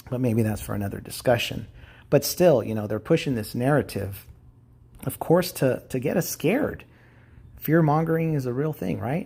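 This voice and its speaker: A man speaks at a medium pitch with a dark, mellow tone and a somewhat breathy quality. His intonation is lively and his pace is moderate. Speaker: YouTube vlogger. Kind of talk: casual monologue to camera. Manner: halting, many fillers.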